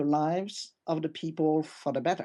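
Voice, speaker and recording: A woman with a French accent, dark and mellow in tone, at a moderate pace over a quiet background. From France. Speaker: tech company CEO. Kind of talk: podcast interview.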